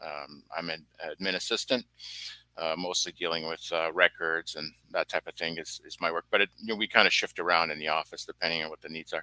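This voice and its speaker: A man with a very deep, low pitch and a bright, sharp tone speaks at a fairly quick pace with fairly even intonation and big swings in loudness, in a dry, close sound with no echo. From British Columbia, Canada. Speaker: guest, former government admin assistant. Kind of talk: interview testimony. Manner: halting, many fillers.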